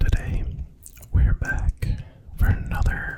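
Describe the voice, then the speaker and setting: Someone whispers in a relaxed tone. Noticeable background noise can be heard. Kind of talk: casual talk to camera while gaming. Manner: soft-spoken, relaxed.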